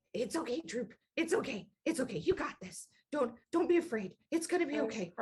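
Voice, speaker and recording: A soft-spoken woman's put-on character voice, high in pitch, at a moderate pace. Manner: quiet, trembling, self-comforting.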